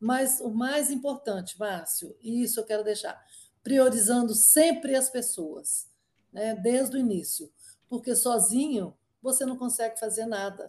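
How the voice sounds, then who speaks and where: At a fairly slow pace, a woman speaks in a high pitch with a dark, mellow tone. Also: ordinary pitch variation. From Minas Gerais, Brazil. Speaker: company co-founder and board executive. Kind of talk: interview. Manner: hesitant, frequent repetitions and fillers.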